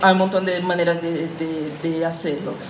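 Over noticeable background noise and audible room echo, a woman talks at a fairly low pitch. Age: 30s. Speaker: journalist and podcast workshop teacher. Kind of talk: workshop lecture.

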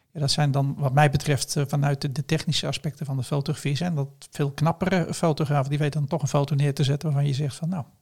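Delivered at a very fast pace with hardly any pauses, the voice is somewhat breathy and monotone, with flat intonation, on a very clean recording with a silent background. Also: man, fairly high pitch for a man. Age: 50s. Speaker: entrepreneur and photographer. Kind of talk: casual interview.

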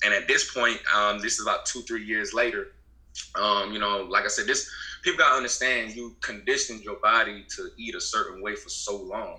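He talks at a fairly quick pace in an American accent. The man's loudness swings widely. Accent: Southern US, Gullah Geechee Low Country. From US South, Beaufort, South Carolina Low Country. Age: 20s. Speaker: herbalist business owner. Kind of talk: casual interview.

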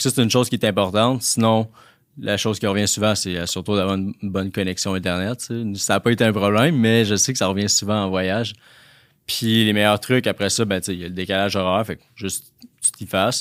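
A man's plain, everyday voice, fairly low in pitch, at a fairly quick pace with fairly even intonation, on a very clean recording with a silent background. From Quebec, La Tuque. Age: 20s. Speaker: entrepreneur. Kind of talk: interview.

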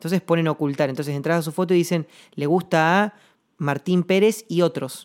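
A man with an Argentine accent at a high pitch, with fairly even intonation and a fairly quick pace. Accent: Rioplatense Argentine Spanish. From Argentina, Patagonia (Chubut). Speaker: singer-songwriter podcaster. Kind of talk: reflective monologue. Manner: halting, repeats words.

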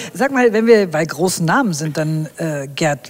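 A woman's very deep, low voice against noticeable background noise. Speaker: podcast host. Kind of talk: scripted narration; casual chat. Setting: walking outdoors.

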